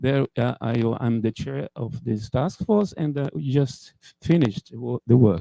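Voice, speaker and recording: Speaking at a very slow pace in a Portuguese accent, a man uses lively intonation with a dark, mellow tone in a dry, close recording with no echo. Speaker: computer scientist. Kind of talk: conference talk. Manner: halting.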